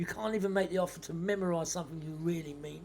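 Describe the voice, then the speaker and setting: With ordinary pitch variation, a man speaks at a fairly quick clip. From South London. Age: 60s. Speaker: podcast host. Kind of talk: casual monologue. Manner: halting, many repeated words; rambling, waffles.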